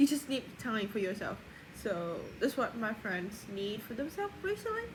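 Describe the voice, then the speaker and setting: Moderate pace against noticeable background noise. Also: woman. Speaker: vlogger. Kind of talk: personal video diary. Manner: casual, rambling with fillers.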